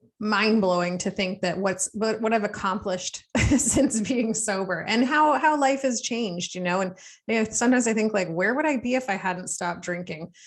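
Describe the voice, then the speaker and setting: A woman with a Canadian accent and a normal speaking voice, fairly high in pitch, with ordinary pitch variation at a moderate pace. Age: mother. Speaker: podcast host, recovering alcoholic. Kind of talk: interview.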